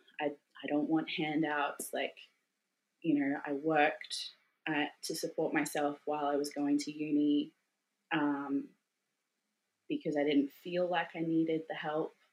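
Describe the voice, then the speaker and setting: An Australian-accented woman speaks at a fairly slow pace with a very deep, low pitch and monotone, flat intonation. Her speech has long, frequent pauses. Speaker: Australian stuck overseas, mother. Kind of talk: interview.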